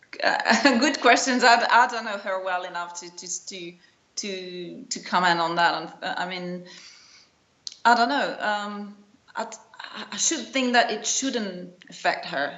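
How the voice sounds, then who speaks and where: A woman with a non-native accent speaks at a fairly slow pace, her medium pitch carried by lively intonation. Her loudness swings widely, and the room echo is audible. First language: not English. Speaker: tennis journalist. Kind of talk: interview. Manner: halting, many repetitions.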